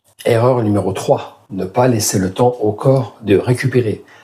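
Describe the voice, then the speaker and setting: Somewhat breathy and dark, mellow in tone, a man speaks at medium pitch and a fairly slow pace with ordinary pitch variation. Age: 60s. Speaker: fitness youtuber. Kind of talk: tutorial. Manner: casual.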